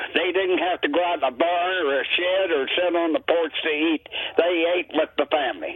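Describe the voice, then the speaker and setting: Over music in the background, a man with a high pitch speaks with fairly even intonation. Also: moderate pace. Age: 80s+. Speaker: caller. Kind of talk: call-in comment. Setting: phone call.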